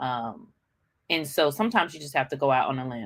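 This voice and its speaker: A woman's voice comes through in a bright, sharp tone. Her intonation is lively. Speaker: business coach. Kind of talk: livestream motivational talk. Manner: fast; casual, with many fillers.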